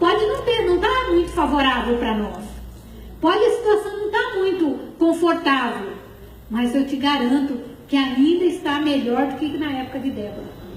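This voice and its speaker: A woman speaks at a moderate pace in a high pitch with very wide swings. Noticeable background noise and audible room echo are present. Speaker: preacher. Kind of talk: sermon.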